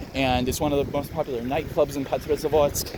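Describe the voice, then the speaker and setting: A man with an American accent talks at a moderate pace over noticeable background noise. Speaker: travel vlogger. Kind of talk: casual walking tour commentary. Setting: outdoors, walking through a city. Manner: casual, with many fillers.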